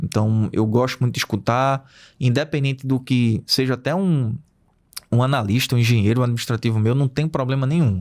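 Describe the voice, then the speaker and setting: On a very clean recording with a silent background, a man with an unremarkable speaking voice talks at medium pitch and a moderate pace with ordinary pitch variation. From Pernambuco, Brazil (Recife). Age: 40s. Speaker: wind farm operations director. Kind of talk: interview.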